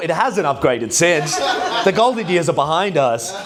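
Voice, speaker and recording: An animated man with an Australian accent, high pitch, lively intonation, and a moderate pace, amid noticeable background noise and audible room echo. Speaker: stand-up comedian. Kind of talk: stand-up. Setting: stage with audience.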